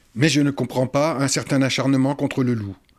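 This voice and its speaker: A man's fairly high-pitched voice at a moderate pace, on a very clean recording with a silent background. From Paris region, Oise. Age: 60s. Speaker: retired forester. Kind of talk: interview. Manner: halting, repeats words.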